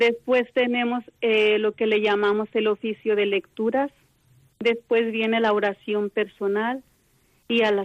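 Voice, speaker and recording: Speaking in a normal speaking voice, a woman with a fairly high pitch and fairly even intonation talks at a fairly slow pace, in a dry, close sound with no echo. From Mexico. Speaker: contemplative nun. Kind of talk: phone interview. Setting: phone call.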